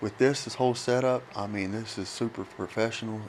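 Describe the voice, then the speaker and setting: With a West Virginia accent, a man talks at a moderate pace in a medium pitch with ordinary pitch variation. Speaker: chemical dependency counselor. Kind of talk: casual chat.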